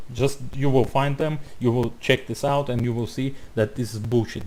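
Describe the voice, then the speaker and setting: A man's medium-pitched voice with a non-native accent. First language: not English. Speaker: YouTuber responding to a video. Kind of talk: reaction commentary. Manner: halting.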